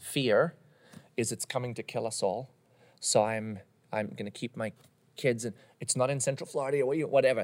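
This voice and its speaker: This man speaks at a fairly quick pace but leaves long, frequent pauses. His pitch is medium and his intonation fairly even. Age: 30s. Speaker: pastor. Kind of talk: casual chat.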